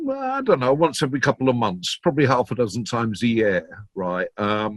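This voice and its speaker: Speaking fairly quickly with a Yorkshire accent, a man at a medium pitch uses ordinary pitch variation, the sound dry and close with no echo. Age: 60s. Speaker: DJ and record collector. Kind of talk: interview. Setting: video call.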